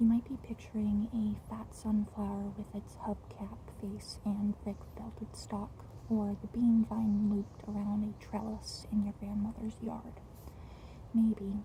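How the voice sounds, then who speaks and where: Fairly slow pace against noticeable background noise. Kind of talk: book reading. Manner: stuttering, slurred, slow.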